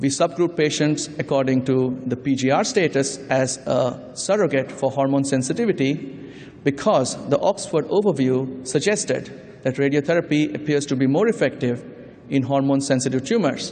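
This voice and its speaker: A man speaks at a moderate pace, his loudness very even throughout. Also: ordinary pitch variation. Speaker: conference presenter. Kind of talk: lecture. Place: hall. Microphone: podium.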